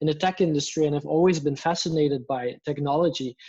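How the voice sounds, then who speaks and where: Fairly even intonation from a man with a Flemish accent, fairly high-pitched, at a moderate pace against a quiet background. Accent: Flemish Belgian. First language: Dutch. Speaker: blockchain communications lead. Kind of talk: casual interview chat.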